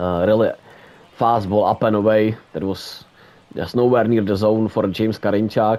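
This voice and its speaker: A man speaks at a moderate pace in a fairly low pitch, with monotone, flat intonation. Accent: non-native. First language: not English. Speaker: gaming streamer. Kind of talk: live play-by-play commentary of a video game. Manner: halting.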